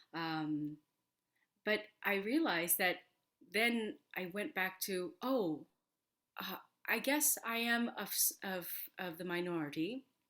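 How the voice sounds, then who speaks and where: With an American accent and a bright, sharp tone, the speaker goes at a very slow pace, swinging very widely in pitch and leaving long, frequent pauses. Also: woman, medium pitch for a woman. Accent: American accent, learned to sound native. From Korea, moved to US at age seven. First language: Korean. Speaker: opera singer and voice teacher. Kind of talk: interview. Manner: halting, many fillers.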